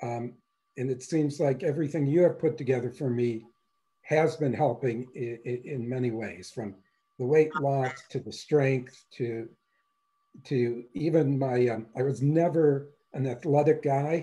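Somewhat breathy and dark, mellow in tone, a man with an American accent speaks at a fairly slow pace against a quiet background. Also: ordinary pitch variation. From Wisconsin. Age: 60s. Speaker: semi-retired coaching client. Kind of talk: testimonial interview answer. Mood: pleased, relaxed. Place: home room. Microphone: video call.

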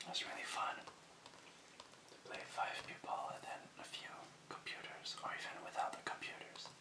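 A man whispers. His pace is moderate. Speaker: ASMR creator. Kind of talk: ASMR whispered video game collection showcase to camera. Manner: whispered, soft-spoken.

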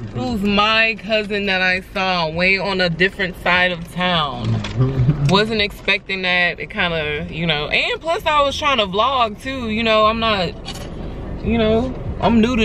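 Over music in the background, a woman speaks at a fairly slow pace with lively intonation, the sound dry with no echo. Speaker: vlogger. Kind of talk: casual vlog chat. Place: car. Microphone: phone near.

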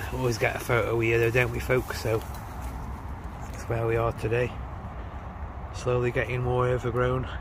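A man speaks at a moderate pace in a monotone, flat way. The sound is dry with no echo, though background noise is noticeable. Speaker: graffiti walk vlogger. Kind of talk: casual vlog chat. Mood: relaxed, appreciative. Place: street. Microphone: phone near.

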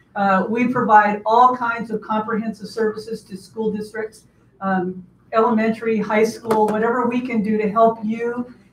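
At a moderate pace, a woman speaks in a monotone, flat intonation, with light background noise and audible room echo. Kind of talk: formal address to audience. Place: meeting room.

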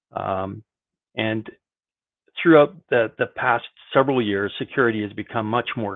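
A man's fairly low voice, moderate in pace and fairly even in intonation, with long, frequent pauses and a quiet background. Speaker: IT industry veteran. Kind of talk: panel discussion. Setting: video call. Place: home room. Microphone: video call.

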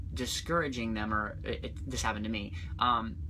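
Noticeable background noise sits under a man's fairly low voice. His pitch swings very widely, and there is vocal fry. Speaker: singing vlogger. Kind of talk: casual vlog chat. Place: home room. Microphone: phone near.

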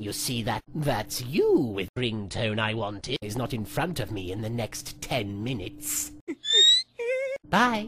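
The voice is a low-pitched put-on character. It moves at a fairly slow pace. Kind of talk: comic parody voice acting. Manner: haughty, petulant, menacing.

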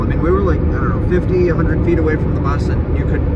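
A man speaks against loud background noise. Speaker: travel vlogger. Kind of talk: casual vlog chat. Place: car. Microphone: phone near.

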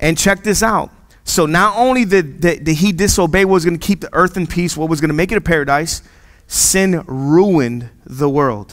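Over a quiet background, a man with a high voice speaks at a moderate pace in an animated tone, with ordinary pitch variation. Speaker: pastor. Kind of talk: sermon. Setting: church. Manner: casual, jokey, conversational; animated, repeats phrases for emphasis. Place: church. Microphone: headset.

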